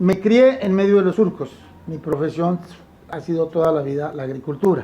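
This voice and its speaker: A man is talking here. His pace is fairly quick, with ordinary pitch variation. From Colombia, Tolima (Purificación). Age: 70s. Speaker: farmer. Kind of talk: testimony.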